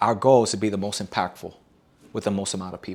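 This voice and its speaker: A man speaks very fast in an animated tone on a very clean recording with a silent background. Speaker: dating coach. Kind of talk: workshop lecture.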